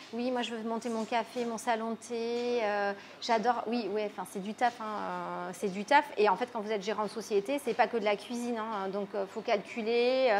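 A woman talks at a moderate pace with a fairly high pitch. Light background noise sits behind her. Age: 30s. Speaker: restaurant owner. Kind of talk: interview. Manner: hesitant, many fillers. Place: cafe.

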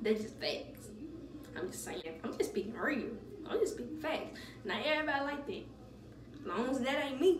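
A high-pitched woman talks at a moderate pace, her loudness swinging widely. Noticeable background noise sits behind her. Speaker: beauty vlogger. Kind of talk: casual vlog chat. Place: bathroom. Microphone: phone near.

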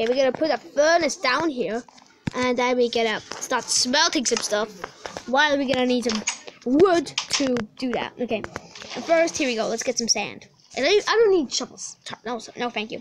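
A woman with a high pitch speaks at a moderate pace with lively intonation. Noticeable background noise is present. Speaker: gaming YouTuber. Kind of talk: gameplay commentary. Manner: animated.

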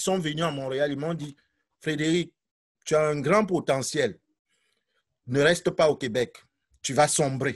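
Over a quiet background, a man speaks at a fairly slow pace with ordinary pitch variation. He leaves long, frequent pauses. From Cameroon. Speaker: teacher. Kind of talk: testimony. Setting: video call. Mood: earnest, reflective. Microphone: video call.

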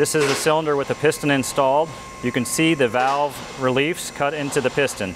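A man's voice amid noticeable background noise. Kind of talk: tutorial. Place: workshop.

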